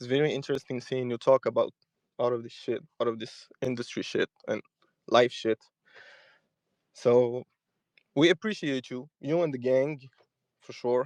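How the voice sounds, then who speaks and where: A man with an Arabic accent at a moderate pace, medium pitch and ordinary pitch variation, big swings in loudness, long, frequent pauses, and a dry, close sound with no echo. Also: quiet background. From Morocco. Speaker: caller. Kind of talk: casual call-in chat.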